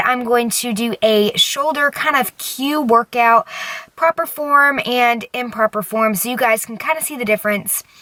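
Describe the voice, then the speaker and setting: A woman's high-pitched voice at a moderate pace with ordinary pitch variation, dry and close with no echo, over noticeable background noise. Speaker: fitness vlogger. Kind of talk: vlog tutorial.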